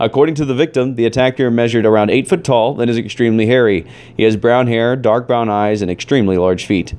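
A man speaks with an American accent at medium pitch. He goes at a very fast pace with ordinary pitch variation. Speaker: podcast host. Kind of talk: reading aloud. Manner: stifled laughter.

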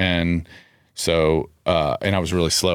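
A man with an American accent speaks in a very deep, low voice and a flat monotone, captured on a very clean recording with a silent background. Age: 40s. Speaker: gym owner. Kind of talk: casual chat.

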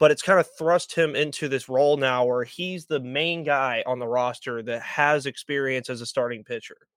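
A man with an ordinary speaking voice and an American accent, fairly high in pitch with fairly even intonation, at a moderate pace with hardly any pauses, in a dry, close sound with no echo. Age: 20s. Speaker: sports podcaster. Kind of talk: casual chat.

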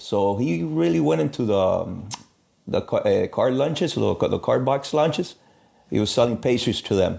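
A man talks at a moderate pace and medium pitch, with very wide pitch swings and vocal fry. His tone is dark and mellow, and his loudness stays very even. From Miami, raised by Cuban parents. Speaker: master baker and bakery owner. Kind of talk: interview.

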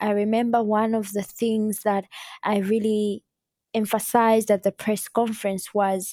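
Very clean and silent in the background, the recording has a dry, close sound with no echo. A woman speaks at a moderate pace in a fairly high pitch. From Uganda. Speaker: climate activist. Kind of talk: interview.

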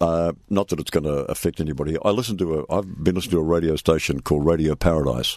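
Someone with a New Zealand accent speaks at a very fast pace. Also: man, very deep, low pitch for a man, ordinary pitch variation, hardly any pauses. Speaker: retired radio presenter. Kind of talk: casual interview.

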